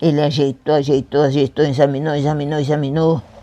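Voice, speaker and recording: A woman speaks at a moderate pace in a very deep, low pitch. Her tone is dark and mellow. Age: 80s+. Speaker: community elder, founder's daughter. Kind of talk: oral history interview answer.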